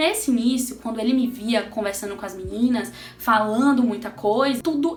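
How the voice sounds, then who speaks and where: Amid noticeable background noise and audible room echo, a woman with a high pitch talks in an animated tone at a fairly quick pace. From Brazil. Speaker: astrologer and holistic therapist, vlogger. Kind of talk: casual personal storytelling vlog.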